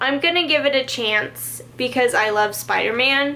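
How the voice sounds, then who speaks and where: A woman with an animated tone uses a raised, projected voice and ordinary pitch variation. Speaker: beauty and lifestyle vlogger. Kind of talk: casual favorites vlog. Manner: loud.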